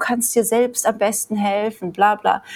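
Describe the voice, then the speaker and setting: A woman speaks with noticeable background noise. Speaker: emigrant mother of three. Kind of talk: casual chat.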